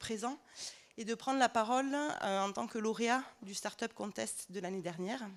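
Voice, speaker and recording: A woman speaks at a fairly slow pace in a fairly high voice, with ordinary pitch variation. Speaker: startup co-founder presenting at a trade fair. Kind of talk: conference presentation. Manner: hesitant, many filler sounds.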